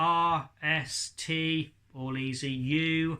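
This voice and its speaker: This very clean recording with a silent background carries a man's bright, sharp tone. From England. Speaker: ventriloquist. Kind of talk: tutorial talk to camera. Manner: casual, self-deprecating.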